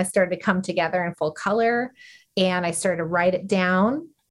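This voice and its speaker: A woman with an American accent uses a plain, everyday voice at medium pitch, speaking at a moderate pace with fairly even intonation over a quiet background. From Arizona, rural. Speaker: nonprofit founder, former juvenile correction officer. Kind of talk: interview.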